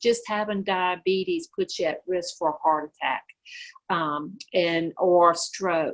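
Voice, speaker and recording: A woman speaks at a fairly slow pace, with a medium pitch and ordinary pitch variation. She has an ordinary speaking voice. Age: 60s. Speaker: diabetes educator. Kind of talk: educational Q&A.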